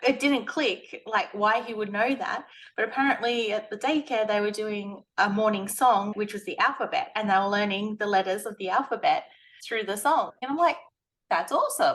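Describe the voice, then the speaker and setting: A woman speaks in a plain, everyday voice at a fairly high pitch. She keeps a moderate pace and ordinary pitch variation. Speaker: blog and web designer, video host. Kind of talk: casual interview chat.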